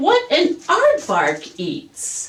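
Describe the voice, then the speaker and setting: Using a put-on character voice, a woman pitches it extremely high. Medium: read story. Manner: polite, mild.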